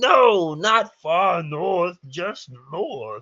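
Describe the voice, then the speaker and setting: A man's put-on character voice, pitched high. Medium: read story. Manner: broken simple speech.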